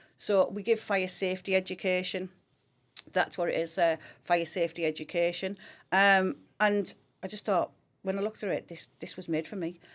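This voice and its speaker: In a very clean recording with a silent background, a woman with a Teesside accent speaks at a moderate pace with a medium pitch, monotone, flat intonation, big swings in loudness and long, frequent pauses. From Teesside, northeast England (Grangetown). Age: 50s. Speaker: fire service schools education coordinator. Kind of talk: podcast interview.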